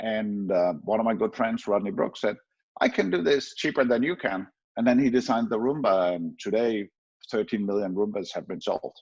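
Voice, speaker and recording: Speaking at a moderate pace, a man has a slight Danish accent. His pitch sits in the middle range. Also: ordinary pitch variation. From Denmark. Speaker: professor. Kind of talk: conference talk. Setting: online conference with screen sharing. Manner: hesitant with filler words.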